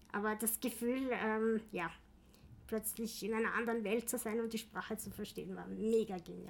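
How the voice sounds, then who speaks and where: A woman speaks at a moderate pace with a fairly high pitch and vocal fry. Her intonation stays monotone and flat. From Austria, Vienna. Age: 40s. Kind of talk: interview. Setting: office.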